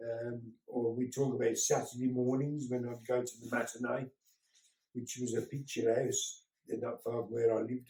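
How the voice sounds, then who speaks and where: A man with a Birmingham accent speaks at a moderate pace in a medium-pitched, somewhat breathy voice with a dark, mellow tone and monotone, flat intonation. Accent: Birmingham (Brummie). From Birmingham, England. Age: 60s. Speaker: grandfather talking to a school class. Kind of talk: home-learning talk for children.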